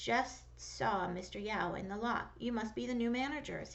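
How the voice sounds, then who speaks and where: A put-on character voice at a moderate pace. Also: female-sounding voice. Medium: read story. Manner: warm, joking.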